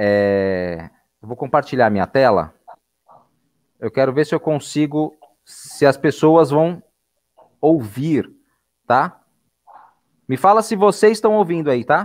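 Talking at a very slow pace with long, frequent pauses, a man uses a fairly high pitch with very wide pitch swings and big swings in loudness. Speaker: school podcast host. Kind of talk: casual live video chat.

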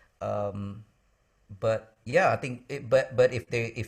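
With an Indonesian-American accent, a man speaks in a somewhat breathy voice on a very clean recording with a silent background. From Indonesia, moved to the US as a boy. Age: 40s. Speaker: worship pastor and songwriter. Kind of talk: interview conversation.

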